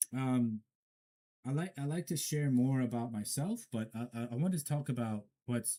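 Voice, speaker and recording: Speaking at a moderate pace, a man has a medium pitch, a dark, mellow tone and ordinary pitch variation. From Afghanistan, Herat. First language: not English. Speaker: commentator. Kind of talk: solo commentary. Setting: studio. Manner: halting, stumbling.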